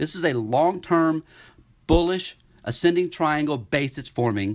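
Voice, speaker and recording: An animated tone with ordinary pitch variation. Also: man. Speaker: investment newsletter analyst. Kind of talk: market update podcast walking through charts. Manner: fast; animated, with frequent repetitions and fillers.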